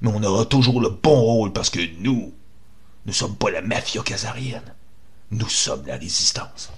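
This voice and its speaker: With a Quebec accent, a man speaks at a moderate pace and medium pitch, using ordinary pitch variation and long, frequent pauses. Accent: Québécois French. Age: 50s. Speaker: activist, online radio host. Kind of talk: monologue, political rant.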